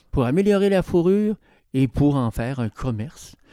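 On a very clean recording with a silent background and a dry, close sound with no echo, a man with a dark, mellow tone speaks at a fairly high pitch and moderate pace, his pitch swinging very widely. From Quebec, Côte-Nord. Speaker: historian. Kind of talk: interview.

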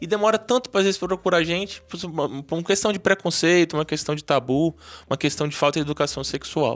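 A man with a Brazilian accent speaks very fast in a high pitch. The sound is dry and close, with no echo. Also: ordinary pitch variation. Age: 40s. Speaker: urologist and sex therapist. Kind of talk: interview.

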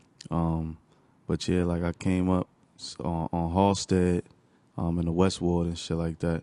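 A man with an American accent and a very deep, low pitch speaks in a monotone, flat intonation with a dark, mellow tone at a fairly slow pace, leaving long, frequent pauses, in a dry, close sound with no echo over a quiet background. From Newark, New Jersey. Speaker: musician. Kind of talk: casual chat.

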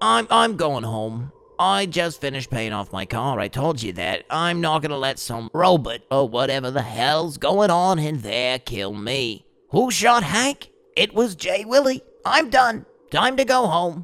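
Speaking at a moderate pace, a man's pitch swings very widely. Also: fairly high pitch for a man. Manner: laid-back, rambling, profane.

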